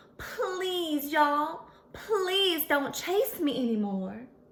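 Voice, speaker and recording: A put-on character voice in a Southern US accent moves at a very slow pace. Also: woman, high pitch for a woman. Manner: polite, sweet.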